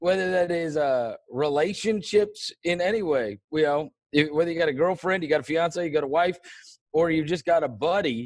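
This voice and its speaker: An ordinary speaking voice with an American accent moves at a moderate pace with ordinary pitch variation. The recording is very clean, with a silent background. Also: man, fairly high pitch for a man. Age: 40s. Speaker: sports podcast host. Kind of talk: casual interview.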